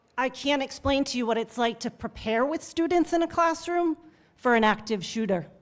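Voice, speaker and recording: A woman talks at a fairly slow pace, and her voice is shaky. The recording is very clean with a silent background. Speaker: teachers' union leader. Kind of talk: public testimony. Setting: legislative hearing room. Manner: shaky voice.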